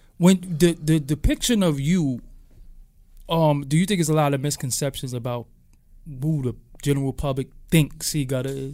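In a New York accent, a man speaks at a fairly high pitch with ordinary pitch variation. His pace is moderate, broken by long, frequent pauses. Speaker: podcast host. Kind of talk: casual chat interview.

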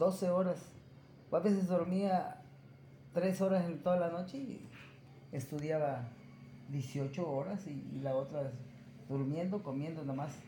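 A man with a dark, mellow tone and a fairly high pitch speaks at a fairly slow pace, leaving long, frequent pauses, with audible room echo. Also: ordinary pitch variation. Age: 40s. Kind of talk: simulated therapy session. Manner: halting.

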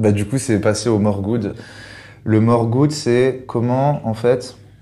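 Speaking at a very slow pace, a man has a dark, mellow tone and fairly even intonation. Room echo is audible. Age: 30s. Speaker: communications agency account director. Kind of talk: interview.

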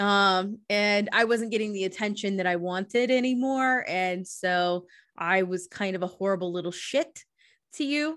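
Over a very clean recording with a silent background, a woman uses a normal speaking voice at a moderate pace, medium pitch and ordinary pitch variation. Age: 30s. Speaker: podcast co-host. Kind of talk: casual chat. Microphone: new blue microphone.

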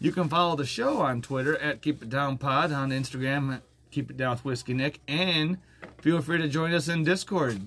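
A man speaks in an unremarkable speaking voice, his pitch fairly high for a man, with ordinary pitch variation. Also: moderate pace. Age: 40s. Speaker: podcast host. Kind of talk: casual chat. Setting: studio.

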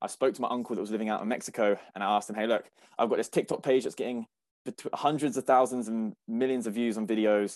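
With a British accent, a man talks at a very fast pace. His pitch is medium and his intonation fairly even. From UK. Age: 20s. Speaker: agency owner and program student. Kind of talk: interview.

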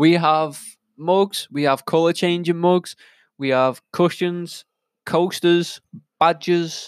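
An English-accented man speaks at a high pitch and a very slow pace, with fairly even intonation. Long, frequent pauses break up his speech in a very clean recording with a silent background. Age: 20s. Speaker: podcast co-host. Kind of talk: casual chat.

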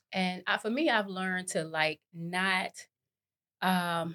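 Recorded with a dry, close sound and no echo, a woman speaks in a fairly low pitch with fairly even intonation and a plain, everyday voice. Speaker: podcast co-host. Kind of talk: casual chat. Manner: warm, playful, laughs often.

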